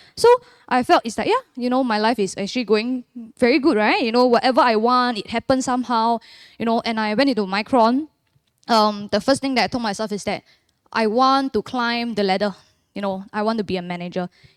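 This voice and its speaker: A woman with a Singaporean accent speaks at a fairly quick pace, her pitch fairly high with ordinary variation, on a very clean, silent-background recording with a dry, close sound and no echo. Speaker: church member giving testimony. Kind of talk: testimony.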